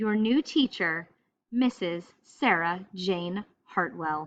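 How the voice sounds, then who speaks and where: A woman puts on a character voice at a medium pitch, speaking very slowly with lively intonation against a quiet background. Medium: read story. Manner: gushing, brisk.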